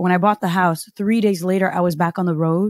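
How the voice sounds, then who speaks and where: The recording is very clean with a silent background and a dry, close sound with no echo. A woman talks fairly quickly in an ordinary speaking voice, at medium pitch with ordinary pitch variation. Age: 30s. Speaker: podcast host and entrepreneur. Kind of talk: casual chat.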